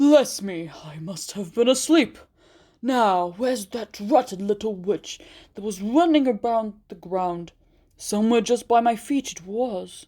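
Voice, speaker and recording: In a put-on character voice, a woman speaks fairly slowly at a fairly high pitch, the very clean recording set against a silent background. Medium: read story. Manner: folksy, polite.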